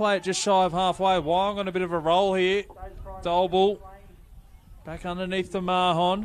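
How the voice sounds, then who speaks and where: A man with an Australian accent speaks at a moderate pace in a high pitch, his intonation flat and monotone, with long pauses coming often. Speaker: rugby league commentator. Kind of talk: live commentary. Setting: stadium.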